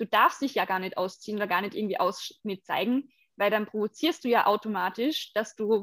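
A woman has an ordinary speaking voice at a fairly high pitch. She speaks at a fairly quick pace with ordinary pitch variation, in a dry, close sound with no echo. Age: 20s. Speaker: body painting model and activist. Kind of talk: interview.

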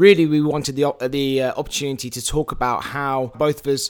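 At a very fast pace, a man talks with an English accent. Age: 30s. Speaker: podcast host and filmmaker. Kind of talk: casual chat. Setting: live stream conversation. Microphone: poor audio quality in early episode.

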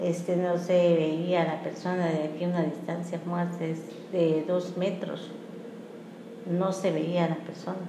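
A woman with a fairly low pitch speaks at a very slow pace in a monotone, flat delivery. Noticeable background noise and audible room echo surround her. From Mexico, Chiapas (Tuxtla Gutiérrez). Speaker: interviewee, longtime resident. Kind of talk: interview. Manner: halting.

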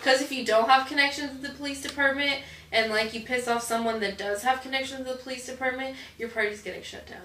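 A woman with a high voice speaks at a very fast pace in a raised, projected voice, with fairly even intonation, big swings in loudness, audible room echo and noticeable background noise. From northern US. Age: 20s. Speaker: adult actress. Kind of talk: casual interview. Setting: on a film set.

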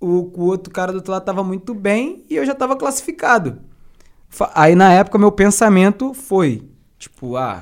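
Lively intonation marks this man's high-pitched voice as he speaks at a moderate pace. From Duque de Caxias, Baixada Fluminense, Rio de Janeiro. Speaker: rapper and battle MC. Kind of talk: casual chat.

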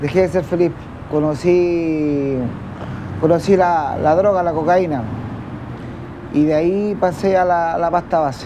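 Slowish and broken by long, frequent pauses, a high-pitched man's voice keeps fairly even intonation and very even loudness amid noticeable background noise and audible room echo. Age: 40s. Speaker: homeless man in drug addiction. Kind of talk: testimony. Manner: halting.

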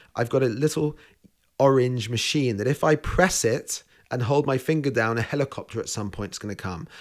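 A man with a London accent speaks at a fairly quick pace and medium pitch with ordinary variation, in a very clean recording with a silent background. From England (London). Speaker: chef. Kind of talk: interview. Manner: hesitant fillers.

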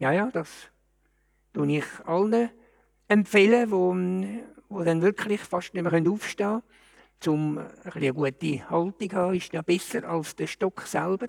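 In a Zurich accent, a man speaks at a high pitch with ordinary pitch variation and a fairly slow pace. Long, frequent pauses mark his speech, heard in a dry, close sound with no echo. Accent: Zurich Swiss German. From Switzerland, Zurich. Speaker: retiree. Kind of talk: casual chat.

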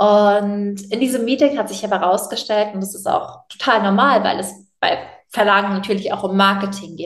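Audible room echo surrounds a woman of medium pitch who speaks at a moderate pace. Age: 20s. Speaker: author and animal welfare activist. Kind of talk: interview.

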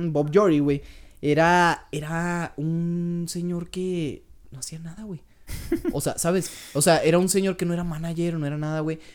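A high-pitched man with a Mexican accent, monotone and flat in intonation, with big swings in loudness and a fairly slow pace. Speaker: podcast co-host. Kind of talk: casual chat.

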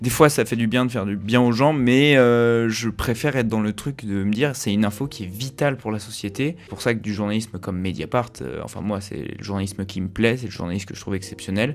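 A man at a fairly quick pace, fairly low in pitch, with ordinary pitch variation and hardly any pauses. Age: 20s. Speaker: journalism student. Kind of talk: casual chat. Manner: hesitant, many fillers.

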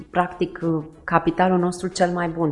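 A woman talks at a moderate pace with a fairly low pitch. It is a plain, everyday voice. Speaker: charity co-founder. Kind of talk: interview.

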